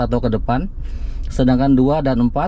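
The speech moves at a fairly quick pace. The sound is dry with no echo, over light background noise. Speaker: car channel host. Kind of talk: tutorial. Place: car.

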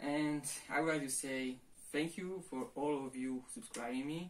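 A man talks with a Polish accent and ordinary pitch variation. There is light background noise. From Poland. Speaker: martial arts youtuber. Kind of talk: casual vlog. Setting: at home, to camera. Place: home room. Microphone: camera far.

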